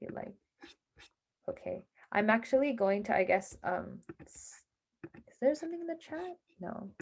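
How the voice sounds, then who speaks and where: A woman speaks at a fairly high pitch with vocal fry and very wide pitch swings. Her loudness shifts widely, and she leaves long, frequent pauses. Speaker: hackathon workshop presenter. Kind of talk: online workshop lecture. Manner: fast.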